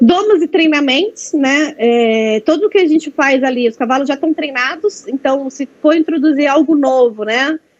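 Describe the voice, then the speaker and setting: High-pitched female speech full of lively intonation. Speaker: veterinarian presenting a workshop. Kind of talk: online training presentation. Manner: fast.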